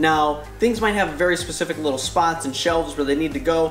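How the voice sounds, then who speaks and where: A man's high-pitched voice at a fairly quick pace with ordinary pitch variation, audible room echo and faint music in the background. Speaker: DIY host. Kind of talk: tutorial. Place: garage. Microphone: camera far.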